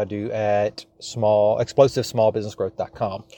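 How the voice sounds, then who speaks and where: A man speaks in a Louisiana accent. His medium pitch has monotone, flat intonation. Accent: Louisiana Southern US, noticeable. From South Louisiana, US. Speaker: small business coach and podcast host. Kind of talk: solo podcast monologue, business advice. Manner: chatty, digressive, casual.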